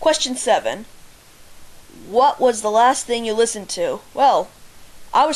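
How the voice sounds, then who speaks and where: Speaking at a fairly slow pace, a woman has a fairly high pitch and ordinary pitch variation. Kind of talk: casual voice meme answers. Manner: hesitant, stalling.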